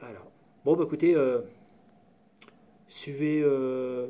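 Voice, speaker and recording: A man speaks with a dark, mellow tone at a medium pitch. His intonation is fairly even. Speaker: hobbyist maker / tutorial youtuber. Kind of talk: casual live tutorial. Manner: loud; halting, many fillers.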